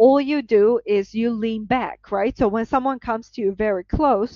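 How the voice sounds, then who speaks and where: A woman with a Georgian accent speaks at a fairly high pitch. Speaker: professor. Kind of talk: lecture. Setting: video call.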